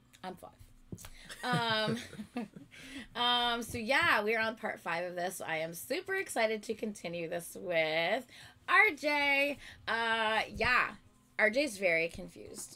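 A woman speaks loudly at a fairly slow pace with a bright, sharp tone. Her intonation is lively, with long, frequent pauses. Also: fairly high pitch for a woman. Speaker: YouTube reactor. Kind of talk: casual chat. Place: home room.

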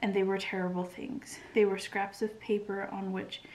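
The voice is soft-spoken. Light background noise can be heard. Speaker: ASMR reader. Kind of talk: reading a novel aloud, soft-spoken. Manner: soft, hushed bedtime reading voice.

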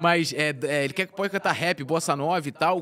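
Talking at a fairly quick pace, a man keeps his pitch high. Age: 40s. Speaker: sports web journalist. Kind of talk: casual chat. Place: studio. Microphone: studio mic.

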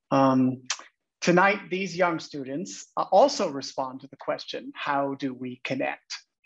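An American accent marks this man's fairly high voice, which moves at a fairly slow pace with ordinary pitch variation and big swings in loudness. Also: quiet background. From Los Angeles. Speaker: arts education director; teacher introducing student work. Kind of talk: presentation introduction. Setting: video call. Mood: warm, welcoming. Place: home room. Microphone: earbuds.

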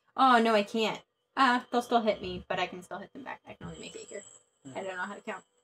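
Very fast and bright, sharp in tone, a woman's voice swings widely in loudness while her pitch varies in an ordinary way. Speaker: board game player. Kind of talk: live board game play. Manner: playful, laughs often. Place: home room.

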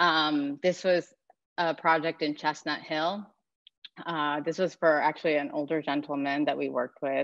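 Over a quiet background, a woman with a very deep, low pitch speaks at a moderate pace in a flat monotone. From Japan and Denmark. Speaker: interior designer. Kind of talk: slide presentation. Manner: hesitant, many fillers. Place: home room. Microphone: webcam.

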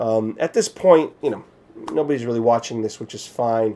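A man talks with ordinary pitch variation. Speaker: vlogger on a fitness journey. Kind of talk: casual vlog chat. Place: home room.

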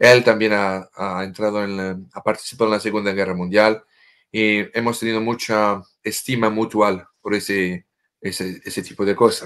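A man's fairly low voice with a French accent, monotone and flat, at a moderate pace. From France. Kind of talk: interview explaining prophecies. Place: home room. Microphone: video call.

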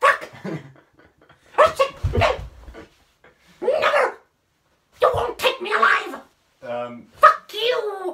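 At an extremely high pitch, the speaker goes at a very slow pace with long, frequent pauses. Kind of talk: comic overacting, voice test. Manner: shrill, frantic, paranoid.

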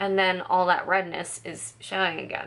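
The woman speaks at a fairly slow pace. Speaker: beauty vlogger. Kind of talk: casual makeup tutorial talk to camera. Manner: chatty, many filler words. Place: home room. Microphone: phone near.

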